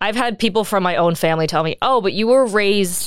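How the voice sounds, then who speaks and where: A woman with an American accent uses a plain, everyday voice at a fairly quick pace with lively intonation, the sound dry and close with no echo on a very clean recording with a silent background. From United States. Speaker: adoptee sharing her story. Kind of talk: casual interview.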